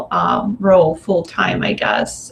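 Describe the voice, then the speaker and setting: A woman with a Russian accent and a medium pitch talks at a fairly slow pace with ordinary pitch variation, over noticeable background noise. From Russia, Moscow. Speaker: energy healer. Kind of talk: interview. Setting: live video stream.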